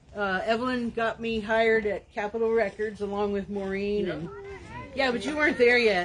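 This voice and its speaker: Noticeable background noise accompanies the recording. A woman speaks at a fairly high pitch and a moderate pace, with ordinary pitch variation. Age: 70s. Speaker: friend giving a eulogy. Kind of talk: eulogy, personal anecdotes. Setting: outdoor memorial in a park, filmed. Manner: casual, chatty.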